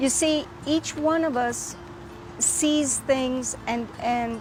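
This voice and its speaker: A woman with an American accent and a high pitch speaks at a very slow pace. Audible room echo and noticeable background noise fill the recording. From US, Texas (San Antonio west side). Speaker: poet and storyteller. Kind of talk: testimony.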